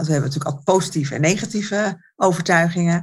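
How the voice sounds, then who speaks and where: Recorded very cleanly against a silent background, a woman speaks in a somewhat breathy, fairly low voice with ordinary pitch variation. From Netherlands, Alkmaar. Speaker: therapist and coach. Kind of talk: casual interview chat.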